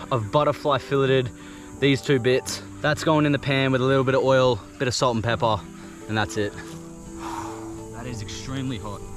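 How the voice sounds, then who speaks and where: Faint music plays behind a man who talks at a fairly quick pace with ordinary pitch variation, the sound dry with no echo. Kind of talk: casual vlog chat. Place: open country.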